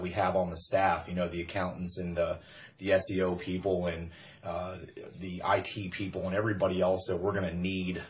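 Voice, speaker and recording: A man speaks in a very deep, low voice at a moderate pace. Audible room echo surrounds him. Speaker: network marketing recruiter. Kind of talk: motivational pitch. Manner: loud; animated.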